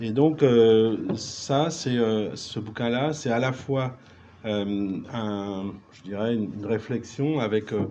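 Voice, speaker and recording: A man with a Breton accent speaks very slowly at a medium pitch, with ordinary pitch variation. His loudness swings widely. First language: Breton (speaking French). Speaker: writer, musician and druid. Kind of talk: round table discussion.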